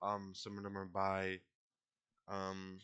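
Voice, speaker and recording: The man's voice sits at a fairly low pitch. His tone is bright and sharp. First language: not English. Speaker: poetry vlogger. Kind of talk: casual vlog talk. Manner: halting, many fillers.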